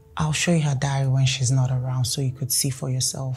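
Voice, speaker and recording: Faint music plays behind a woman with a very deep, low pitch who speaks at a fairly quick pace. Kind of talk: scripted drama dialogue. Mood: worried, earnest. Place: home room.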